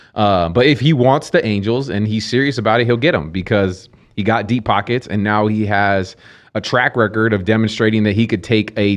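A man speaks with an unremarkable speaking voice at a fairly low pitch. His intonation is fairly even, and the background is quiet. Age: 40s. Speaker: podcast co-host. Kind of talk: casual chat.

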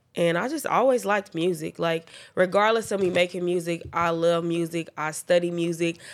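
Recorded very cleanly against a silent background, a woman speaks at a moderate pace and fairly low pitch with fairly even intonation. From Oklahoma City. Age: 20s. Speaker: rapper. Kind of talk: casual interview.

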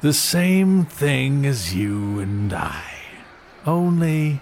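A man uses a put-on character voice at a fairly high pitch. He talks at a very slow pace over clear background noise. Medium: audio drama. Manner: aloof, dry.

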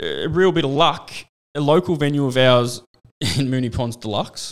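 A man with an Australian accent and ordinary pitch variation. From Australia, Geelong. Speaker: club promoter and DJ. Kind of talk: casual chat.

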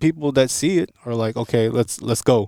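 In an American accent, an unremarkable speaking voice with fairly even intonation is heard dry and close with no echo on a very clean recording with a silent background. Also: man. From Los Angeles, US West Coast. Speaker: recording engineer. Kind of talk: interview. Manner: casual.

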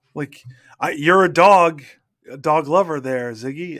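A man speaks at a moderate pace in a fairly high pitch, on a very clean recording with a silent background. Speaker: podcast host. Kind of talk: casual banter podcast.

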